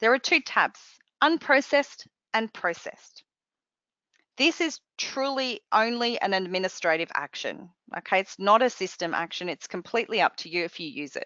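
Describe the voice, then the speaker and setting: Very wide swings run through this woman's pitch. She sits fairly high in her range. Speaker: software trainer presenting a webcast. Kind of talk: software tutorial webcast. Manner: fast.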